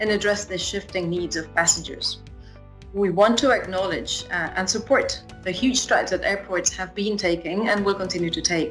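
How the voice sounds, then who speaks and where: A woman's speech has ordinary pitch variation, with faint music in the background. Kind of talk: prepared congratulatory address. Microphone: webcam.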